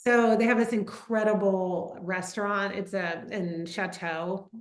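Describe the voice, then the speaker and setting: In a plain, everyday voice with an American accent, the speaker goes at a fairly slow pace with fairly even intonation. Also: woman, medium pitch for a woman. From US South, Atlanta, Georgia. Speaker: winemaker. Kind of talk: casual chat. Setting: video call.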